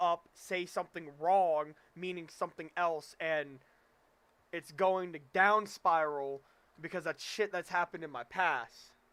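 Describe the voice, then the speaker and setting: A man with a high voice speaks at a fairly slow pace and with fairly even intonation, recorded very cleanly against a silent background. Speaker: gaming streamer. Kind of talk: live stream chat. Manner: stammering; halting.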